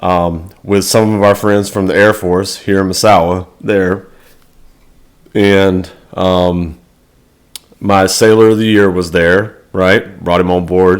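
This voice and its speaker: Very deep, low-voiced man with an American accent, monotone, flat intonation, very slow pace and long, frequent pauses. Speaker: navy sailor and motivational vlogger. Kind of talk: motivational talk. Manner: loud.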